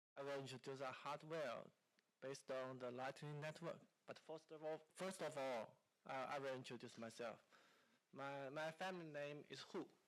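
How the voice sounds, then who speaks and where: Using fairly even intonation at a moderate pace, a man with a Chinese accent speaks at a fairly high pitch. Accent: Mandarin Chinese. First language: Mandarin. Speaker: company founder. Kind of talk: conference talk. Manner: halting.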